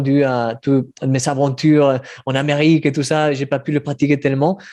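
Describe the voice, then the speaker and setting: Speaking at a moderate pace with a Spanish accent, a man delivers his words in a flat monotone. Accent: Spanish-accented French, praised as beautiful. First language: Spanish (speaking French). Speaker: devotional writer. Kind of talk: online meeting conversation. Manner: halting, repeating words.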